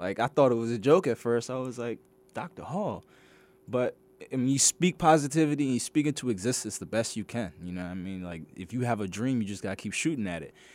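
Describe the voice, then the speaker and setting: Someone with an American accent talks at a very fast pace, the loudness swinging widely and the pitch swinging very widely. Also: man. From Maryland, Washington DC area. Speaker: graduate student. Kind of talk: radio interview. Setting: radio studio.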